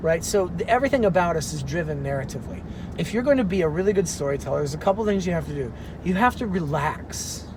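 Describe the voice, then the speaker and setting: Noticeable background noise and audible room echo surround speech delivered at a very fast pace. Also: man. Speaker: actor and professor. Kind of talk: casual chat. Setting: in a car.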